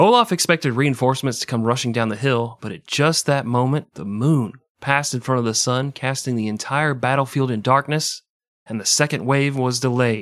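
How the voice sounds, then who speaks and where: The recording is very clean with a silent background. A man talks fairly quickly at a medium pitch with ordinary pitch variation. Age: 40s. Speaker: history podcast co-host. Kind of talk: casual chat with scripted narration. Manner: animated.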